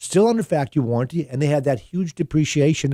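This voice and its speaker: This voice has a dark, mellow tone and ordinary pitch variation. It goes at a very fast pace. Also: man. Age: 60s. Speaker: used car dealer and radio show host. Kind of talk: radio talk show conversation. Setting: radio studio. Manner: conversational, with frequent fillers and restarts.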